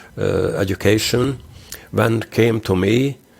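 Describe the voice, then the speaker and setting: This man talks at a fairly slow pace. Vocal fry runs through his voice. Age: 60s. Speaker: interventional cardiologist. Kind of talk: interview. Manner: halting.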